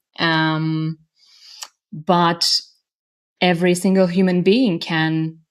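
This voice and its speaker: A woman with a non-native accent speaks in a fairly low voice. The recording is very clean, with a silent background. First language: not English. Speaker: singer and voice coach. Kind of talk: interview. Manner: hesitant, many fillers.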